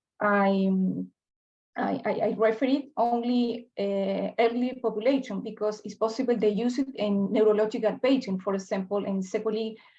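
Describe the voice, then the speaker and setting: Speaking in a Spanish accent, a woman with a fairly high, somewhat breathy voice keeps a dark, mellow tone, fairly even intonation and a moderate pace. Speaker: health researcher. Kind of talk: Q&A answer. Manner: halting.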